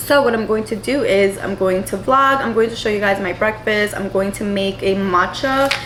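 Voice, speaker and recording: A woman with an American accent speaks at a medium pitch with an animated tone, ordinary pitch variation and hardly any pauses, over noticeable background noise and audible room echo. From New York City. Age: 20s. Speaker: lifestyle vlogger. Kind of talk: casual vlog talk. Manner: fast.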